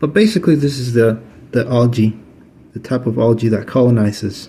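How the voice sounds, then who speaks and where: A man speaks at a moderate pace in a somewhat breathy voice of medium pitch, its tone dark and mellow, with ordinary pitch variation. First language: Spanish. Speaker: aquarium hobbyist. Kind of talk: tutorial. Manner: halting, many fillers; casual.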